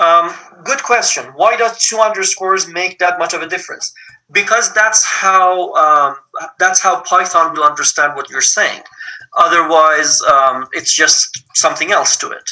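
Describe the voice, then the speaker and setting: Raising and projecting his voice, a man speaks at a high pitch with ordinary pitch variation. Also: fairly slow pace. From Iran. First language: Persian. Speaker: teaching assistant for an engineering programming lab. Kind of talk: lab tutorial. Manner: halting, many fillers (um, uh).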